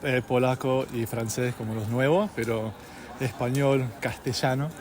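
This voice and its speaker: Over noticeable background noise, a man of medium pitch talks at a fairly slow pace. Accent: Argentine. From California. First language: English (speaking Spanish). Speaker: polyglot. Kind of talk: interview. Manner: halting, many fillers.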